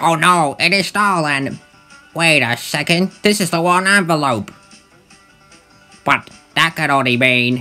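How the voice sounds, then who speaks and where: A man performs a put-on character voice at a fairly high pitch and a fairly slow pace. Long, frequent pauses break it up, with faint music in the background. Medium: dub. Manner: exaggerated, dramatic.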